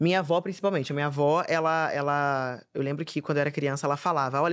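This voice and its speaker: Delivered at a very fast pace, a woman's energetic voice is captured in a very clean recording with a silent background. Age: 20s. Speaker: comedian and influencer. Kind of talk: casual chat.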